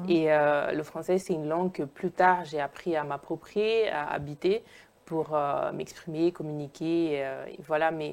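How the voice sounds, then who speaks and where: With an Italian accent, the speaker talks at a fairly slow pace with fairly even intonation. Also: woman, very deep, low pitch for a woman. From Italy, Naples. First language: Italian (speaking French). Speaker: sociologist and filmmaker. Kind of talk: interview. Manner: hesitant, many fillers.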